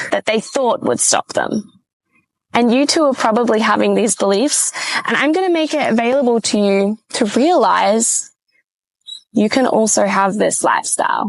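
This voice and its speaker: Speaking in an Australian accent, a woman keeps a moderate pace. Her pitch is fairly high and her intonation lively. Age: 20s. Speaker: podcast host. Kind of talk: casual monologue. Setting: sitting in a hammock.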